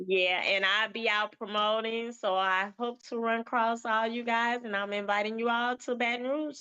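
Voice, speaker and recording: Over a quiet background, a woman with a Southern US accent speaks at a fairly high pitch and moderate pace, her tone bright and sharp, her intonation fairly even, her loudness very even, with hardly any pauses. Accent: Southern twang. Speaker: event promoter. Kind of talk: casual chat. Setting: livestream.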